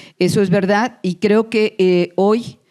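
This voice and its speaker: The woman's voice has a dark, mellow tone. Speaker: academic lecturer. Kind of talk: conference lecture.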